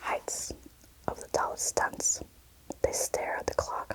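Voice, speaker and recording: A woman whispers fairly slowly, with noticeable background noise all around. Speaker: booktuber and ASMRist. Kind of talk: whispered audiobook-style reading of a novel. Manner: whispered, soft-spoken, slow.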